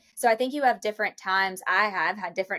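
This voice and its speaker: A woman in a Kentucky accent, medium in pitch with ordinary pitch variation, a bright, sharp tone, a fairly quick pace and a dry, close sound with no echo. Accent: Kentucky Southern US. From Kentucky, Lexington. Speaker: real estate brokerage executive. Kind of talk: podcast interview.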